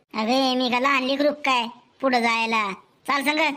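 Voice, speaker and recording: A cartoonish character voice from a woman, high in pitch, at a fairly slow pace with fairly even intonation and very even loudness. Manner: hurried, pushy.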